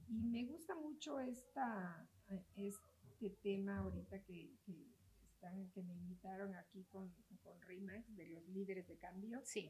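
A medium-pitched woman at a very slow pace, with lively intonation and big swings in loudness. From Mexico, Oaxaca. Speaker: real estate broker and association president. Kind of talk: interview.

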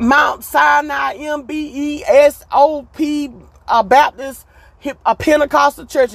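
A woman speaks with a high pitch. Her tone is animated. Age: 40s. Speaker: podcast host. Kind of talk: casual monologue.

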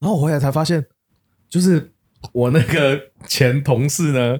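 Somewhat breathy, a man speaks at a fairly slow pace in a fairly high pitch with ordinary pitch variation. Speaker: podcast co-host. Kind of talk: casual chat.

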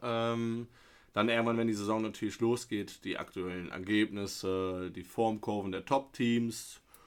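Here is a man with an ordinary speaking voice, fairly low in pitch with ordinary pitch variation. He talks at a fairly slow pace on a very clean recording with a silent background. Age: 30s. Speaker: football podcast host. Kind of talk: casual chat.

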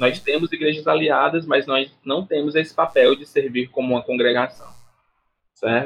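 With a fairly high pitch, a man talks at a moderate pace in a normal speaking voice. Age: 20s. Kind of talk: interview conversation.

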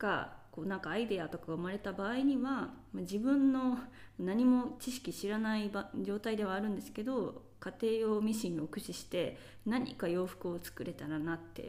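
A woman speaks at medium pitch with a dark, mellow tone. Her intonation is lively and her pace moderate. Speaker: podcast host. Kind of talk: solo monologue podcast. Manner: casual, many fillers.

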